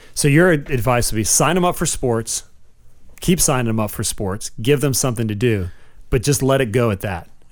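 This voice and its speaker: Medium in pitch, a man talks at a fairly quick pace with lively intonation on a very clean recording with a silent background. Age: 40s. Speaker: podcast co-host, youth sports parent. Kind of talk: casual chat. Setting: studio. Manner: animated.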